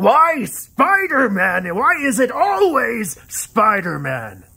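At a very slow pace, a man uses a raised, projected voice pitched high, his pitch swinging very widely. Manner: ranting, possessive, frantic.

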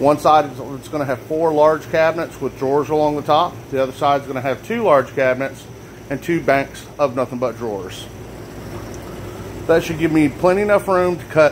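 A man speaks at a moderate pace, his pitch varying in an ordinary way, with light noise in the background. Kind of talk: casual vlog chat. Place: workshop. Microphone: phone near.

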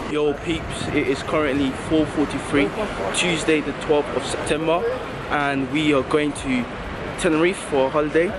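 A man's voice amid loud background noise. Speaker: travel vlogger. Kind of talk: casual vlog chat. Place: street. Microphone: phone near.

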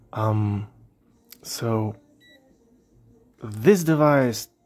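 With music in the background, the speaker's pitch varies in an ordinary way. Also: man. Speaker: electronics hobbyist, radio amateur. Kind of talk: casual electronics tutorial talk to camera. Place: workshop.

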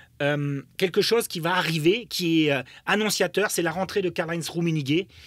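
A man with a German accent speaks at a fairly slow pace, his pitch high and his tone animated. The sound is dry with no echo against a quiet background. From Germany. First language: German (speaking French). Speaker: football pundit, former footballer; football pundit. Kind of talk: podcast interview. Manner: animated, many hesitations and repetitions. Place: studio. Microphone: studio mic.

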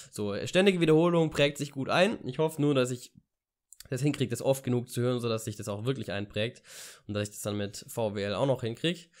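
Against a quiet background, a man with a medium pitch talks at a fairly quick pace with lively intonation. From Ulm, southern Germany; Germany. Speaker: vlogger and university student; vlogger. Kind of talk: casual vlog monologue. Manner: hesitant, many filler sounds. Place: home room. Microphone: studio mic.

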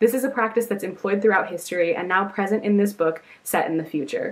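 Over noticeable background noise, a woman with a medium pitch talks very fast in an upbeat, excited tone, with ordinary pitch variation. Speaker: book vlogger. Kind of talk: casual talk to camera.

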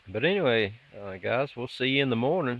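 Moving at a moderate pace, a man talks. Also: dry sound with no echo. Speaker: solo camper vlogger. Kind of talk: casual vlog chat. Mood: calm, relaxed. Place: forest. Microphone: phone near.

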